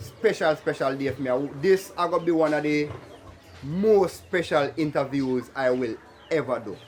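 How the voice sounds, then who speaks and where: A man with a Jamaican accent speaks at a moderate pace in a fairly high voice with ordinary pitch variation. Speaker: video interviewer. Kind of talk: casual vlog intro.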